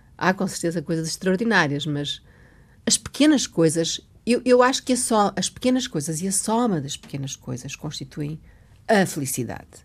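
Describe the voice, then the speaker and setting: In a very clean recording with a silent background, a woman with a fairly low pitch and a somewhat breathy voice speaks at a moderate pace, her pitch swinging very widely. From Mozambique. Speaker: writer and teacher. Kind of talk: interview. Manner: halting.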